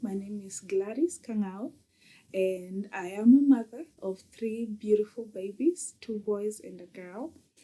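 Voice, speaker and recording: Spoken with a Kenyan accent, the voice has a dark, mellow tone and ordinary pitch variation. It moves at a fairly slow pace. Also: woman. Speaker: mom coach. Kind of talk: podcast interview. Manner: hesitant with many fillers.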